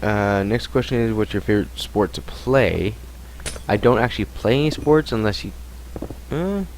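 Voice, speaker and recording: A man speaks at a moderate speed with noticeable background noise behind him. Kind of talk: casual Q&A talk to camera. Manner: rambling, mumbling at times.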